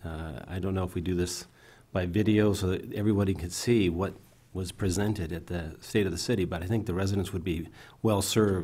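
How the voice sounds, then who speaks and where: Amid audible room echo, a somewhat breathy man with a dark, mellow tone and a very deep, low pitch speaks fairly quickly with fairly even intonation. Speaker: city council member. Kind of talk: council meeting remarks. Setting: council chamber with audience. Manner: halting.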